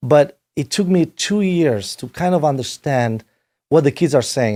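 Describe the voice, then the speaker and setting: The man's voice is fairly high, with a dark, mellow tone. The recording is very clean, with a silent background. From Romania. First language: Romanian. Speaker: rock band manager and producer. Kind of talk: podcast interview. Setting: home studio.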